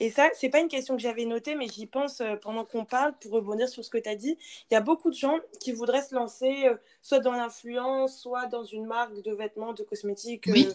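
Her loudness swings a lot as this woman talks at a fairly quick pace. She has a high pitch with ordinary pitch variation. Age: 20s. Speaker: podcast host, business school student. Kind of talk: interview.

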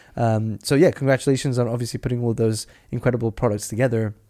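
In a very clean recording with a silent background, a man with a dark, mellow tone speaks very fast with fairly even intonation. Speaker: podcast host. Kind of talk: casual interview chat.

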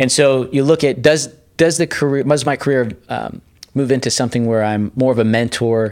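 A man with a plain, everyday voice speaks at a fairly quick pace with ordinary pitch variation, in a very clean recording with a silent background. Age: 40s. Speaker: sales and marketing executive. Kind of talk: interview.

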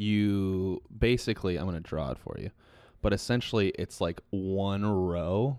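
A man with an unremarkable speaking voice talks fairly slowly at a fairly low pitch with ordinary pitch variation. The recording is very clean with a silent background. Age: 20s. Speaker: podcast host. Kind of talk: casual chat.

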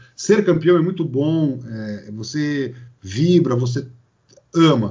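A man's voice, somewhat breathy, carries lively intonation. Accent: São Paulo. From Brazil, São Paulo. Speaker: sports marketing consultant. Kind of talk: podcast interview.

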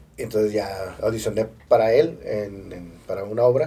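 Ordinary pitch variation in a somewhat breathy delivery. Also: man. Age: 40s. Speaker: actor and stand-up comedian. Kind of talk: casual chat.

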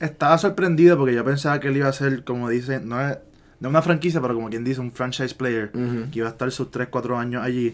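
Speaking at a very fast pace with a Puerto Rican accent, a man keeps a medium pitch and ordinary pitch variation. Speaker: podcast co-host. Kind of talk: casual chat.

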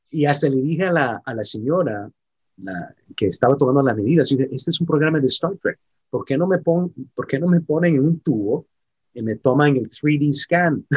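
A man's fairly high, somewhat breathy voice at a moderate pace, with lively intonation and a dry, close sound with no echo. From San Francisco, California, US. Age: 50s. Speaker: actor. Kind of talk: interview. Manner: halting.

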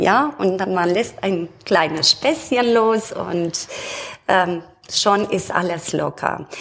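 The woman's intonation is lively. She speaks very slowly. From Romania. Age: 40s. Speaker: bank customer service employee. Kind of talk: casual interview.

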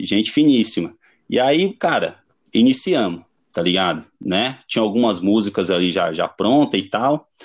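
In an ordinary speaking voice, a man talks at a fairly slow pace with lively intonation. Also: fairly low pitch for a man, quiet background. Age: 30s. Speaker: punk band vocalist. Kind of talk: casual chat.

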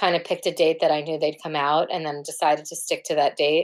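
On a very clean recording with a silent background, a woman speaks with a New York accent. Her fairly low voice has monotone, flat intonation. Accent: New York American. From US, New York City (Manhattan). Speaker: singer-songwriter and photographer. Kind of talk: casual interview chat. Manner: hesitant, many fillers.

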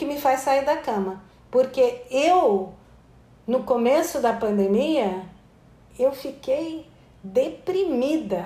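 A woman's high-pitched voice at a very slow pace, broken by long, frequent pauses. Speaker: anthropologist and author. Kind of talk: interview.

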